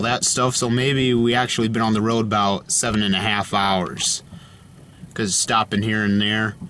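A man at a fairly slow pace with fairly even intonation, light background noise, and dry sound with no echo. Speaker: road trip vlogger. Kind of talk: casual vlog chat. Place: car.

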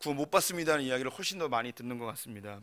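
A man's voice, bright and sharp in tone, with ordinary pitch variation against a quiet background. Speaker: preacher. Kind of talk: sermon. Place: church. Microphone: podium.

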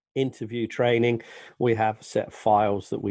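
A man is speaking. The background is quiet and the sound is dry, with no echo. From England, Northampton (East Midlands). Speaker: English teacher. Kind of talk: self-introduction to camera. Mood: friendly, relaxed. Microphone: headset.

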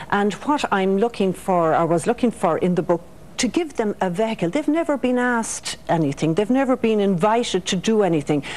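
With an Irish accent, a woman talks at a fairly quick pace and her pitch swings very widely. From Ireland. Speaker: author. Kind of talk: radio interview. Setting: studio. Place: studio. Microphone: lapel.

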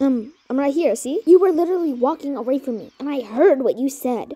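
A female-sounding put-on character voice speaks at a fairly quick pace with a high pitch. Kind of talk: audio drama dialogue.

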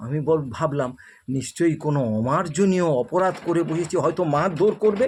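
A man speaks in an unremarkable speaking voice, fairly high in pitch with ordinary pitch variation. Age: 60s. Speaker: storyteller video creator. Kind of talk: storytelling monologue.

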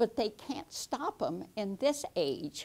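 A woman's dark, mellow voice at a very slow pace. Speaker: Bible teacher. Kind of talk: Bible teaching lesson. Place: studio. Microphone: lapel.

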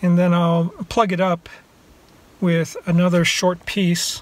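A man with a high pitch speaks at a fairly slow pace, the sound dry with no echo. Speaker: travel vlogger. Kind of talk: casual vlog chat. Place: car. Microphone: phone near.

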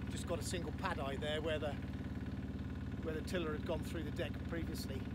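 Loud background noise behind a dry, echo-free male voice. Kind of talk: casual vlog chat. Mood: cheerful, enthusiastic. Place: boat. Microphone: phone near.

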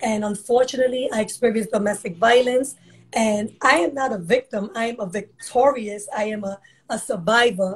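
A woman's somewhat breathy voice, fairly high in pitch, at a moderate pace with ordinary pitch variation. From New York City, Harlem; Puerto Rican; New York City. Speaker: women's empowerment group founder; guest. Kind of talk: interview. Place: home room. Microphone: video call.

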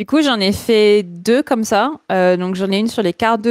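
The speech moves at a moderate pace, with a dry sound free of echo and a quiet background. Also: woman. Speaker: art director, illustrator and motion designer; guest. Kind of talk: podcast interview. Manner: loosely articulated.

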